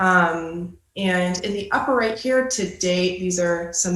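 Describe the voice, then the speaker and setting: With audible room echo, a woman with an American accent speaks at a medium pitch with ordinary pitch variation. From Ann Arbor, Michigan. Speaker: graduate student presenter. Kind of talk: presentation.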